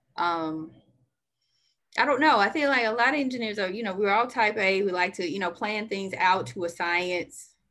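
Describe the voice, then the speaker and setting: A woman with an Alabama accent talks at a moderate pace and a medium pitch, in a bright, sharp tone. Her intonation is lively, and the background is quiet. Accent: Southern US (Alabama). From US South, Birmingham, Alabama. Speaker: civil engineer. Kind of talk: casual chat.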